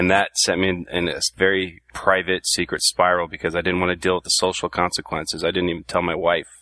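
A man with a Californian accent speaks in a very deep, low pitch and a bright, sharp tone, with a monotone, flat intonation. His pace is fairly quick with hardly any pauses, and the sound is dry and close with no echo. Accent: Californian American. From Southern California. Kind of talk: casual panel chat, personal story.

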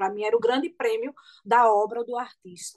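A woman's fairly high voice at a fairly quick pace, with ordinary pitch variation and a dry, close sound with no echo. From Pernambuco Agreste, Brazil. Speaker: singer and actress. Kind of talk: radio interview.

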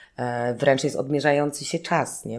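The woman's voice has a dark, mellow tone. Her pitch is very deep and low, with ordinary pitch variation. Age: 30s. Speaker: choreographer and dancer. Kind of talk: interview. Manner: hesitant, many fillers.

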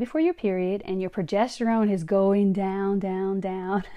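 The speaker talks at a fairly slow pace with a Louisiana accent. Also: woman. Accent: Southern US (Louisiana). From Louisiana, small town. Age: 50s. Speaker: health and fitness coach, podcast host. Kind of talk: solo podcast monologue. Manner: animated.

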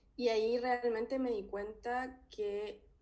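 A woman with a Chilean accent speaks amid audible room echo. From Chile, Talca. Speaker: philosophy doctoral researcher. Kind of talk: interview.

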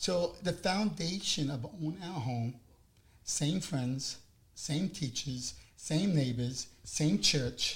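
A man with an American accent talks at a very slow pace, his fairly high voice carrying lively intonation. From New York, Long Island. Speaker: housing program advocate. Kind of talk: interview.

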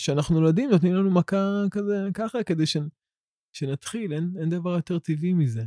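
A man with high pitch, ordinary pitch variation and a dark, mellow tone, the sound dry and close with no echo. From Israel, Ramla. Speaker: woodworker and philosophy student. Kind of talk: podcast interview. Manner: halting, many repetitions and fillers.

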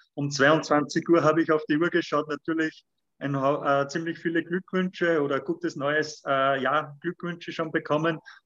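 The sound is dry and close, with no echo. A man talks at a moderate pace with monotone, flat intonation. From Lower Austria. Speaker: firefighter and triathlete. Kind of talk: interview. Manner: halting, with many fillers.

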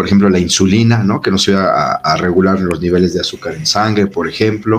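Over noticeable background noise, a man speaks with a fairly low pitch and fairly even intonation. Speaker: doctor and engineer explaining protein supplements. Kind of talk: casual explanatory chat. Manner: sounds stern or angry by default.

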